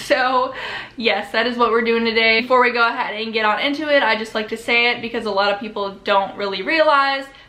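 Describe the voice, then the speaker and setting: Over noticeable background noise and audible room echo, a woman talks at a very fast pace with fairly even intonation. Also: fairly high pitch for a woman. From US Midwest. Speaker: YouTuber. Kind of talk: casual vlog intro.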